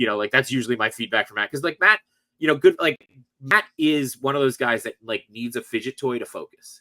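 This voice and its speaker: A man talks at a fairly quick pace with lively intonation and a bright, sharp tone. The sound is dry and close, with no echo. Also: medium pitch for a man. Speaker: toy collector and podcast host. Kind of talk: casual chat. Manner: fast.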